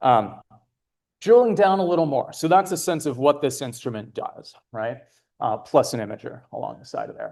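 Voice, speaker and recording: Pitch swings very widely as a man talks at a moderate pace. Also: fairly high pitch for a man, quiet background. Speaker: astronomer presenting an instrument. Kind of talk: conference talk. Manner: loud.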